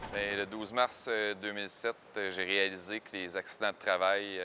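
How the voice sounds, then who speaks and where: A man's fairly low voice with a Quebec accent, bright and sharp in tone, with monotone, flat intonation. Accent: Québécois French. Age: 20s. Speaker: paraplegic former carpenter. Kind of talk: testimony. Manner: hesitant, many fillers.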